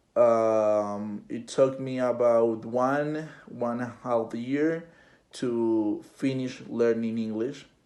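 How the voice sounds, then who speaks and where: Audible room echo surrounds a man speaking at a very slow pace. His medium-pitched voice has a dark, mellow tone and fairly even intonation. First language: Spanish. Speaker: interviewee, university student. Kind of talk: interview. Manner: halting, many fillers and repetitions.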